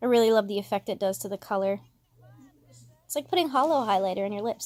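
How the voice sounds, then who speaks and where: A woman with medium pitch and ordinary pitch variation speaks at a very fast pace, broken by long, frequent pauses. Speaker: beauty vlogger. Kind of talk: tutorial. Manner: casual, chatty.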